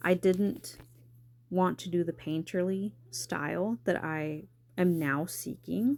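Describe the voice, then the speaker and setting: With an American accent, a woman speaks at a very slow pace and fairly low pitch in a very clean recording with a silent background. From South Texas, near Corpus Christi. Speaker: amateur artist, art channel host. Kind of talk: casual paint-along chat. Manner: hesitant, many pauses and ums.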